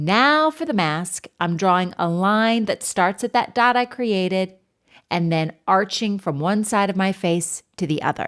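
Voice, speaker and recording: The speaker talks at a fairly slow pace with lively intonation in an unremarkable speaking voice. The recording is very clean, with a silent background. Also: woman. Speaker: art teacher. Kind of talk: tutorial.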